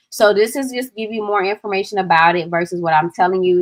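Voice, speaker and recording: With an American accent, a woman speaks at a medium pitch. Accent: Southern accent, people often remark on it. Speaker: digital product coach. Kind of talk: livestream tutorial. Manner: casual, chatty.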